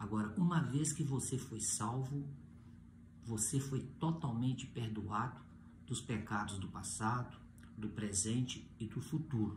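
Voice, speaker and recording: Somewhat breathy, a man speaks at a fairly slow pace with ordinary pitch variation. The room echo is audible. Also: medium pitch for a man. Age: 60s. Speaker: pastor. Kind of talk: sermon.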